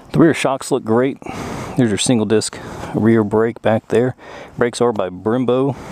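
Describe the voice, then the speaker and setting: Against noticeable background noise, a man with a Southern US accent talks at a medium pitch with fairly even intonation and very even loudness, leaving long, frequent pauses. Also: moderate pace. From US South. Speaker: motorcycle YouTuber. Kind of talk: motorcycle review. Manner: casual, many fillers.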